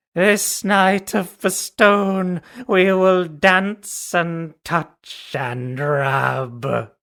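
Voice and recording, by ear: This is a put-on character voice at a middle pitch. It moves at a very slow pace with hardly any pauses.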